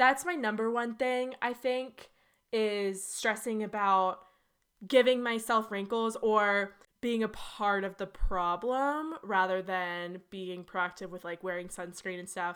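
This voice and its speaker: A woman's plain, everyday voice at medium pitch with ordinary pitch variation and a fairly slow pace, in a very clean recording with a silent background. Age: 20s. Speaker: podcast co-host. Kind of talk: casual chat.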